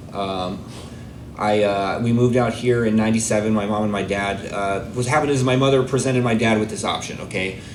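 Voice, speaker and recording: A man in a medium pitch with a General American accent at a fairly quick pace, with audible room echo and noticeable background noise. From Arizona, US. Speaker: recovery speaker. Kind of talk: testimony. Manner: casual, halting with fillers.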